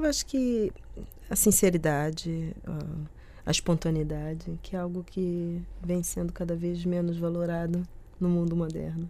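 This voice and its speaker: Her voice fairly low in pitch with a dark, mellow tone, a woman talks at a fairly slow pace with fairly even intonation and long, frequent pauses. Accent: Rio de Janeiro. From Brazil, Rio de Janeiro. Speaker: nutrition researcher. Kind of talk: radio interview. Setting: studio.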